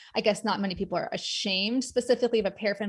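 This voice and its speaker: A woman speaks with a fairly high pitch, somewhat breathy and with fairly even intonation. The recording is very clean, with a silent background. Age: 40s. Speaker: occupational therapist and arthritis advocate. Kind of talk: conference talk. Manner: fast.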